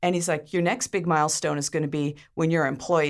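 A woman with a very deep, low pitch, vocal fry and a fairly quick pace. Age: 50s. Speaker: media company founder. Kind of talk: interview.

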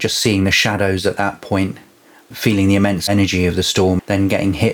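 Noticeable background noise sits behind a man whose fairly low voice runs in a monotone, flat intonation. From England, Devon. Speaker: percussionist and singer-songwriter. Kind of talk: storytelling in casual interview.

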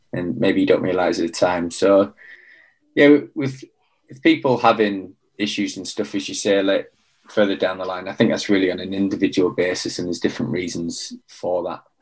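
Against a quiet background, a man with a British accent speaks fairly quickly in a fairly low pitch, with ordinary pitch variation and big swings in loudness. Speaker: former Royal Marines commando, mentor and coach. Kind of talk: casual interview conversation.

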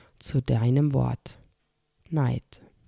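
A woman's very deep, low voice, calm and soothing, dark and mellow in tone, dry and close with no echo, on a very clean recording with a silent background. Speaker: podcast host. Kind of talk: guided meditation. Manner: slow, calm, soothing; soft-spoken, with long pauses and repeated word.

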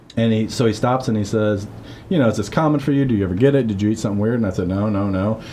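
Audible room echo surrounds a man who speaks at a fairly low pitch and a very fast pace. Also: ordinary pitch variation. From Missouri-born, raised in Guatemala from age 9 to 18. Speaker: podcast co-host, church ministry member. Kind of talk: casual conversational interview. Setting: church basement office. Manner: frequent verbal backchannel agreement.

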